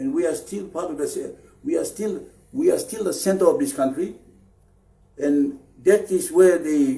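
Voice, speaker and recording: A man with a dark, mellow tone speaks at a fairly slow pace with lively intonation. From Papua New Guinea, Chimbu highlands. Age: 60s. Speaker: anti-corruption activist leader. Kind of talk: public political appeal. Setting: Facebook live stream. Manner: halting, with fillers and repeats.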